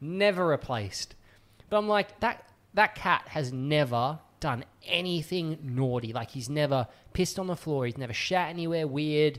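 An Australian-accented man speaks at a moderate pace. His fairly high voice has lively intonation. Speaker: podcast co-host. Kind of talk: casual chat. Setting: studio.

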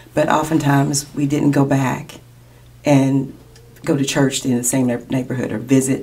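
A woman with a very deep, low voice speaks at a moderate pace in a monotone, flat way. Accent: Kentucky. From Lexington, Kentucky. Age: 50s. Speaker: sports hall of fame co-founder. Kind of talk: interview.

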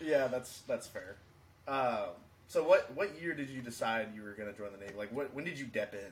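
A man talks in an unremarkable speaking voice at a medium pitch. His intonation is lively. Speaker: podcast host, Navy veteran. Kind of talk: casual chat podcast.

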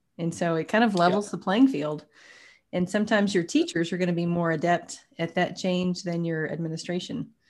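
An ordinary speaking voice from a woman with an American accent, fairly low in pitch with ordinary pitch variation, at a fairly quick pace. The recording is very clean, with a silent background. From Texas (Tyler, East Texas). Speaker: podcast host. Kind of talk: interview.

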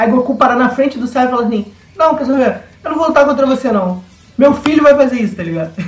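Noticeable background noise accompanies a man whose pitch is extremely high, with ordinary variation in it. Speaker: podcast panelist. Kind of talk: casual chat.

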